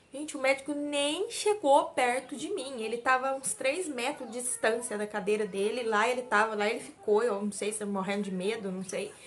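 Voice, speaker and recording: Background noise is noticeable as a woman speaks in a high pitch with lively intonation. She keeps a moderate pace with hardly any pauses. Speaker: vlogger, mother. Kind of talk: casual vlog talk to camera. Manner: weak, struggles to speak at length.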